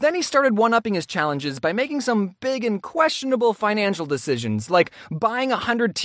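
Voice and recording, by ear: The text is read out loud. Its delivery sounds natural.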